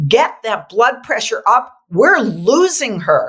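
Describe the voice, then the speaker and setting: This is a put-on character voice, gruff and fairly high in pitch. It moves at a fairly slow pace. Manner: urgent, commanding.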